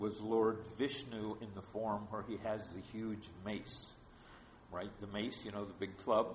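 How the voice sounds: This is a natural reading voice. It carries the words through.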